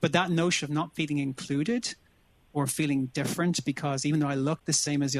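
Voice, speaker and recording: Fairly high in pitch, a man talks at a very fast pace. He has an Irish accent and fairly even intonation. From Ireland, Dublin. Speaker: business executive, panelist. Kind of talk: panel discussion. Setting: virtual session.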